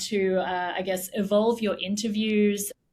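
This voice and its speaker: A woman of medium pitch speaks at a moderate pace with an Australian accent. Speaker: tech company CEO. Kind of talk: interview conversation.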